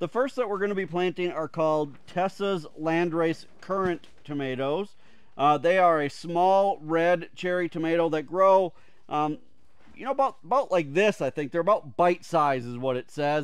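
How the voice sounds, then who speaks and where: Against a quiet background with a dry sound and no echo, a man speaks at a moderate pace, his high pitch showing ordinary variation. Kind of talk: casual vlog chat. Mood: relaxed, friendly. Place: garden.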